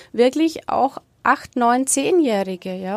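A woman's high-pitched voice at a moderate pace, in a very clean recording with a silent background and a dry, close sound with no echo. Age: 40s. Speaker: sex therapist. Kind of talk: interview.

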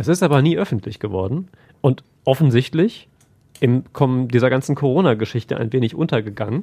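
Speaking at a fairly quick pace, a man with a medium pitch and a dark, mellow, somewhat breathy tone uses lively intonation. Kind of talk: casual chat.

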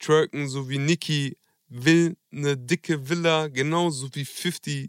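In a dry, close sound with no echo, a man speaks very slowly at a fairly high pitch with monotone, flat intonation. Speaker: podcast co-host. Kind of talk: casual chat. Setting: video call.

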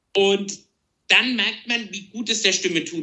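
This man's pitch is high. He keeps a moderate pace with ordinary pitch variation. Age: 40s. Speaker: tenor singer. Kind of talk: casual interview. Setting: at home, remote conversation.

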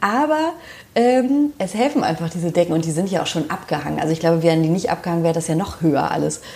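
Talking at a very fast pace, a woman uses lively intonation at a fairly low pitch. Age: 30s. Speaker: social worker and home decor enthusiast. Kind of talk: casual interview. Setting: at home in her kitchen.

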